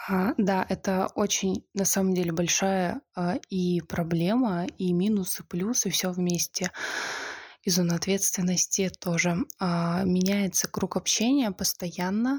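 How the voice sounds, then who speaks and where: Very slowly, a woman speaks at a medium pitch in a somewhat breathy voice with fairly even intonation. Her loudness stays very even, and the sound is dry and close with no echo. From Siberia (Zabaykalsky Krai village). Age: 20s. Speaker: podcast guest. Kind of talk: casual chat.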